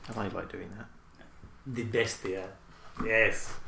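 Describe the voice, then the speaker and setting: Speaking in a British accent, a man keeps to a moderate pace. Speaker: podcast co-host. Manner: joking, animated.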